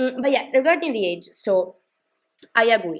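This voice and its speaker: Very clean audio of a woman against total background silence. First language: not English. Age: 20s. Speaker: K-pop commentary YouTuber. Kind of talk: casual vlog commentary. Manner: hesitant, many fillers and restarts.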